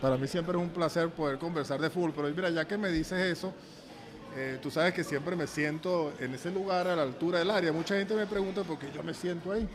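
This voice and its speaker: A man with a high pitch talks very fast amid audible room echo and noticeable background noise. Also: fairly even intonation. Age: 60s. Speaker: football coach. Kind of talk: casual interview.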